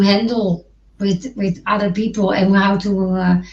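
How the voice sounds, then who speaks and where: A woman speaks with a Dutch accent. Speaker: podcast co-host. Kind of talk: casual chat. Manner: halting, many false starts.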